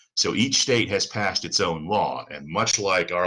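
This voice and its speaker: Against a quiet background, a man with a fairly low pitch and a bright, sharp tone talks at a fairly slow pace. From outside the US South. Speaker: attorney. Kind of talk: lecture. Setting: video call. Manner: repeats words, halting. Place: home room. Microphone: webcam.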